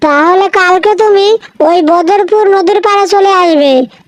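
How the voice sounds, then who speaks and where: This cartoonish character voice sounds female and sits at an extremely high pitch. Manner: scolding, bossy.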